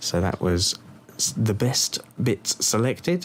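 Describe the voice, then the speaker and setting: A man speaks with lively intonation while noticeable background noise carries on. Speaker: music producer. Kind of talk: tutorial. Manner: casual, hesitant with fillers.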